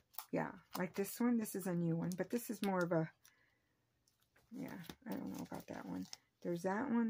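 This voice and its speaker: Somewhat breathy, a woman speaks at medium pitch and a moderate pace. Her tone is dark and mellow, her intonation lively. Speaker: papercraft channel host. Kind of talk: tutorial. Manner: casual, hesitant with fillers; soft-spoken.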